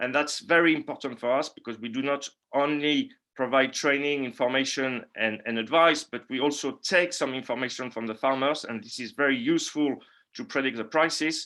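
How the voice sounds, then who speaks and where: This man has a French accent and a fairly high, bright, sharp voice. He moves at a fairly quick pace with fairly even intonation. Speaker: market analyst. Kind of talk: webinar presentation. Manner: halting, many fillers and repeats.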